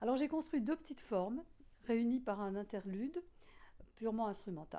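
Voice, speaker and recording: Dark, mellow tone from a woman, lively intonation, fairly slow pace. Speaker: composer. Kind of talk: interview. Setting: at home. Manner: halting.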